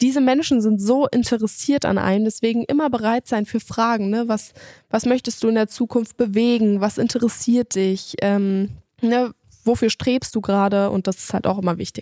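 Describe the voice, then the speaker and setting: In a dry, close sound with no echo, a woman with a dark, mellow tone speaks at a fairly high pitch and moderate pace with fairly even intonation. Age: 20s. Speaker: podcast host. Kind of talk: solo self-help podcast monologue. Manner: casual, conversational with fillers.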